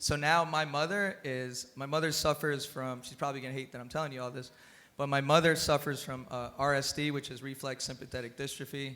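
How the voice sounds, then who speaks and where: A man's fairly high-pitched, bright, sharp voice with a Spanish accent, fairly even intonation, big swings in loudness and a fairly quick pace. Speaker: cannabis industry panelist. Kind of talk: panel discussion. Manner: halting.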